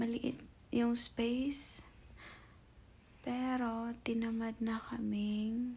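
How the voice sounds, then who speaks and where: Soft-spoken and dark, mellow in tone, a woman talks in a fairly high voice with monotone, flat intonation. Her pace is very slow, with long, frequent pauses. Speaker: vlogger. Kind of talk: casual vlog. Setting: at home on couch. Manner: soft-spoken, lowered voice.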